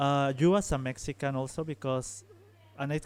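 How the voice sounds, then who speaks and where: A man speaks at a medium pitch. He has a Spanish accent. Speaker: interviewer. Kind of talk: interview. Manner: halting.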